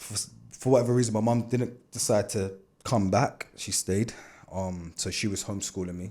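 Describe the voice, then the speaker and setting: A man with a London accent speaks at a moderate pace, his fairly low voice dark and mellow with fairly even intonation. The recording is very clean, with a silent background. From Canada, then London (Peckham) from childhood. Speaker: dancer and DJ. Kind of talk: casual interview chat.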